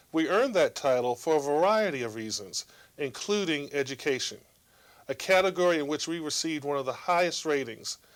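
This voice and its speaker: A man with an American accent speaks in a normal speaking voice, fairly high in pitch, on a very clean recording with a silent background. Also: lively intonation, fairly quick pace. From Virginia. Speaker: state senator. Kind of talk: political address.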